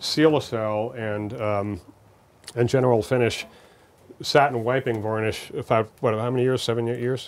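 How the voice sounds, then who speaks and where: At a moderate pace, a man talks in a medium pitch with fairly even intonation. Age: 60s. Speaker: guitar maker. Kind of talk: workshop talk. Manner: halting.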